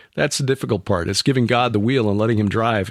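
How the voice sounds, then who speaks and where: Against a very clean, silent background, a man with an unremarkable speaking voice talks at a medium pitch with ordinary pitch variation. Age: 60s. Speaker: podcast host. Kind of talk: interview.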